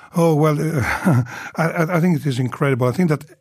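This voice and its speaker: Somewhat breathy, a man with an Italian accent talks at a very fast pace, with a fairly high pitch and ordinary pitch variation. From Italy. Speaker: hotel general manager. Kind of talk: casual interview.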